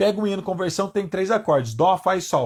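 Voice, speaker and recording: Here a man is talking. His pace is fairly quick. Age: 30s. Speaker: guitar teacher. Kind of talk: live online lesson. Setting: Instagram livestream.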